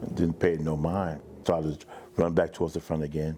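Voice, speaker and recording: Monotone, flat intonation over noticeable background noise. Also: man. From US Northeast, Jersey City, New Jersey. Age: 60s. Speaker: fire survivor. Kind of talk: testimony. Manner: halting.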